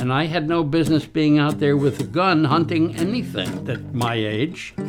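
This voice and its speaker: A man with a fairly high pitch talks at a moderate pace with lively intonation. Music plays in the background. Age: 80s+. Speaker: retired hunter. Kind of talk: interview answer. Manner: reflective storytelling.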